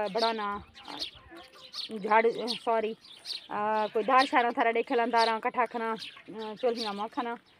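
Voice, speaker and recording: A woman is talking. Her voice is fairly high. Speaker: vlogger, housewife. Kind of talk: casual vlog talk to viewers. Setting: outdoors at tandoor oven, village home. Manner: hesitant, many fillers.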